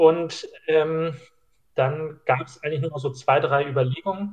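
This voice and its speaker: There's ordinary pitch variation in this man's somewhat breathy voice. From Schleswig-Holstein, northern Germany. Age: 20s. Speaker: trainee pastor. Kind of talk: casual chat.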